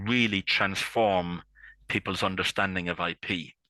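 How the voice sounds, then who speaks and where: A man with a strong Irish accent speaks in a very deep, low pitch with a bright, sharp tone, the sound dry and close with no echo on a very clean recording with a silent background. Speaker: intellectual property consultant. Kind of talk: interview. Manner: halting, many fillers and repeats.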